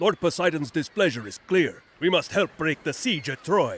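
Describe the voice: A man does a put-on character voice at a moderate pace. It is fairly high and fairly bright, with big pitch swings and a slightly husky edge.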